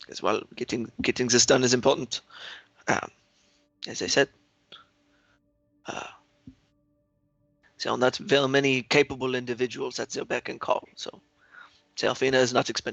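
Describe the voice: A man's fairly bright voice with vocal fry and fairly even intonation, at a moderate pace with long, frequent pauses, in a dry, close sound with no echo. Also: medium pitch for a man.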